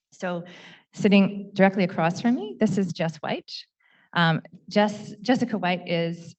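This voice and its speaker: In a Canadian accent, a woman speaks at a moderate pace with a somewhat breathy voice. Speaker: panel moderator. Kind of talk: panel introduction. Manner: halting, many fillers.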